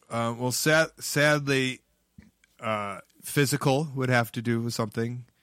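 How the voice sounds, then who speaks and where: A man speaks in a Chicago accent at a fairly slow pace, with a medium pitch and fairly even intonation. The recording is very clean, its background silent. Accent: Chicago American. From Chicago, US Midwest. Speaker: pro wrestler and comedian. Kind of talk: casual chat.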